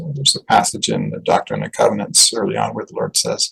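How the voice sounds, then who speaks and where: An American-accented man talks at a fairly quick pace. The sound is dry and close, with no echo. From Utah. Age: 60s. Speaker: author. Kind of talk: interview conversation.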